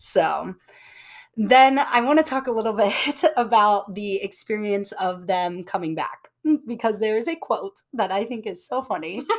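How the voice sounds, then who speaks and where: A woman with an American accent has an unremarkable speaking voice and lively intonation. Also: fairly high pitch for a woman, fairly slow pace. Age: 20s. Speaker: podcast host. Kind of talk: casual chat. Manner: casual, with filler words.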